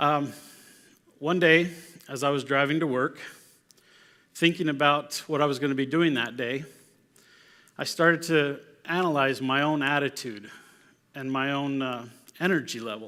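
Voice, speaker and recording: A man speaks at a moderate pace in a fairly high voice with a bright, sharp tone. His intonation is fairly even, and he takes long, frequent pauses. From Mexico. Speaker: conference speaker. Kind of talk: motivational talk.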